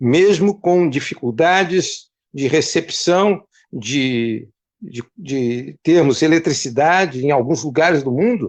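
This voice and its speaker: A man speaks very slowly at a fairly high pitch. His intonation is lively. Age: 70s. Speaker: retired pastor.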